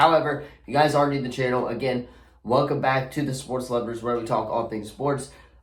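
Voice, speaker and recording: At a fairly quick pace, a man of medium pitch talks with monotone, flat intonation amid audible room echo and noticeable background noise. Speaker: sports channel host. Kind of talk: casual sports predictions talk.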